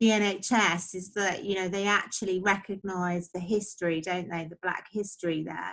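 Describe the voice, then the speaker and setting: On a very clean recording with a silent background, a woman with a normal speaking voice talks fairly slowly, her intonation fairly even. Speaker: interview host. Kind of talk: casual interview talk.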